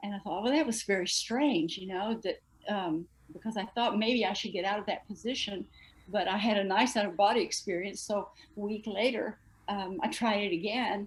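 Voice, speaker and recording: A woman with an American accent, medium pitch, a somewhat breathy voice, ordinary pitch variation and a fairly quick pace. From Texas. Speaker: astral projector, discussion group member. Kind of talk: casual group discussion.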